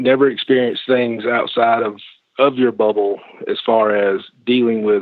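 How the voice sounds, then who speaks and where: A man with a Southern US accent speaks at a moderate pace in a medium pitch, his intonation flat and monotone. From US South, Georgia. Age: 40s. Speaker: podcast guest, commenter. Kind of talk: conversation.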